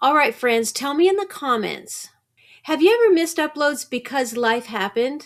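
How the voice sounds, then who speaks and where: A high-pitched woman's voice with lively intonation and a warm tone, at a moderate pace, in a very clean recording with a silent background. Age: 60s. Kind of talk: tutorial. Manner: warm, encouraging.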